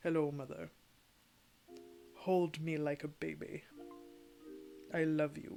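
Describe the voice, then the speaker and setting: A gravelly put-on character voice at middle pitch, fairly slow with long, frequent pauses, over faint background music. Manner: begging for attention.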